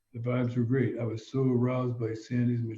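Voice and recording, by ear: Someone is reading aloud. It's done in a natural voice.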